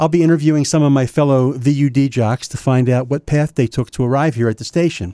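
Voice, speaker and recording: This man talks at a very fast pace with a fairly high pitch. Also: fairly even intonation. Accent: American. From US Mid-Atlantic. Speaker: podcast host interviewing DJs. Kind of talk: interview conversation.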